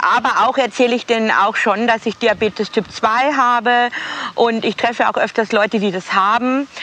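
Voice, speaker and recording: There is noticeable background noise as a woman with a fairly high pitch talks at a moderate pace with very even loudness. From Bavaria, Straubing area. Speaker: celebrity make-up artist. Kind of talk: casual chat. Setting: outdoors, walking.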